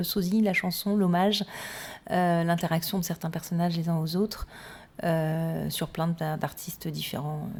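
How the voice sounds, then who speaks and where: This woman's voice has a dark, mellow tone and a fairly low pitch. She speaks at a fairly slow pace. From Corsica (Cap Corse), half Sicilian. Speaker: singer and star impersonator. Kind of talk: radio interview.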